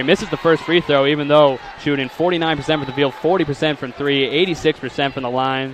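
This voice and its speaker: Pitched fairly high, a man talks at a very fast pace with hardly any pauses and fairly even intonation. Noticeable background noise sits behind him. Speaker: sports play-by-play announcer. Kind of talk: basketball play-by-play commentary.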